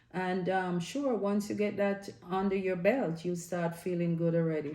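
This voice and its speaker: A woman's voice at medium pitch, with ordinary pitch variation, a moderate pace and audible room echo. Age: 60s. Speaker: health and lifestyle vlogger. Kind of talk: casual video vlog tips. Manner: hesitant with frequent fillers.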